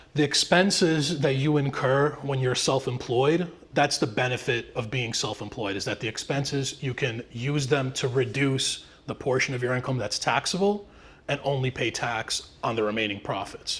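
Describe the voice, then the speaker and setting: A man with a medium-pitched voice speaks with ordinary pitch variation. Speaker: tax professional presenting to real estate agents. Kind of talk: live presentation. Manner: fast.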